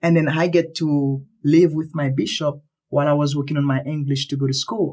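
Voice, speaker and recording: In a Haitian accent, a man with a fairly high pitch speaks at a fairly quick pace with monotone, flat intonation. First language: Haitian Creole or French. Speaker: earthquake survivor. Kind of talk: interview.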